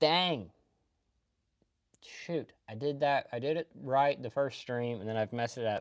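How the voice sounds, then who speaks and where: This speaker has a Kentucky accent. The pace is moderate. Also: very clean recording, silent background. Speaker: anime streamer. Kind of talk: casual live stream chat. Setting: live stream.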